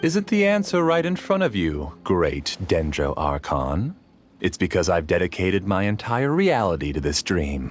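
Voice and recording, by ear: In a put-on character voice, a man speaks at a fairly slow pace, low in pitch, with very wide pitch swings.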